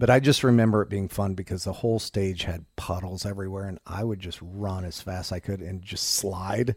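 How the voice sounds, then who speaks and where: Somewhat breathy and fairly low in pitch, a man with an American accent talks at a moderate pace with hardly any pauses and ordinary pitch variation, captured on a very clean recording with a silent background. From US Midwest, Indiana. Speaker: rock guitarist. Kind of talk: interview.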